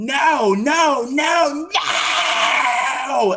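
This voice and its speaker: Someone shouts in a shaky, high-pitched, put-on character voice. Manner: distressed, repeatedly refusing.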